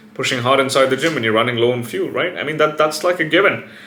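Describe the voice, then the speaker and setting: A man talking at a very fast pace, with noticeable background noise and audible room echo. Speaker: fitness and biohacking YouTuber. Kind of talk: casual vlog monologue. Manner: animated.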